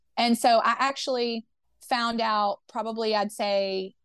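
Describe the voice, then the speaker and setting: A woman's plain, everyday voice, fairly high in pitch and fairly even in intonation, over a quiet background. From US South, Memphis, Tennessee. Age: 30s. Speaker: union organizer. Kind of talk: interview.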